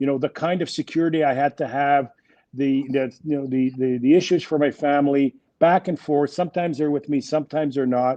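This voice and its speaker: Fairly high pitch from a man with a French Canadian accent, fairly even intonation and a fairly quick pace. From Quebec, Montreal. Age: 60s. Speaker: business executive. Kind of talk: interview.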